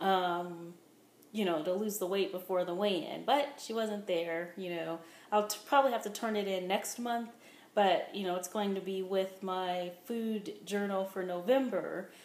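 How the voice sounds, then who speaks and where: Her medium-pitched voice set in audible room echo, a woman speaks at a fairly slow pace with fairly even intonation. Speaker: weight-loss vlogger. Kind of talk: casual vlog monologue. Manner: rambling with fillers.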